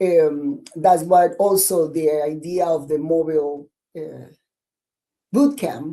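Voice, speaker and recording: Very slowly, a woman speaks at a fairly low pitch in a dark, mellow tone with ordinary pitch variation. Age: 50s. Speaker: fitness coach and army veteran. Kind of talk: podcast interview. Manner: halting, many repeats.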